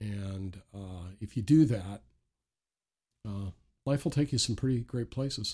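Over a silent background in a very clean recording, a somewhat breathy voice with a dark, mellow tone moves at a fairly slow pace, with long, frequent pauses, big swings in loudness and ordinary pitch variation. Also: man, fairly low pitch for a man. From Maritime provinces of eastern Canada. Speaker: author and minister. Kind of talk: casual interview conversation. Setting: studio.

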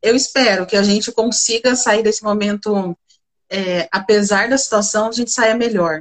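This is a normal speaking voice. A woman speaks at a fairly high pitch, fairly slowly, with fairly even intonation. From interior of São Paulo state, Brazil (Bebedouro). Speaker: corporate leader in procurement, economist. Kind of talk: live-stream interview.

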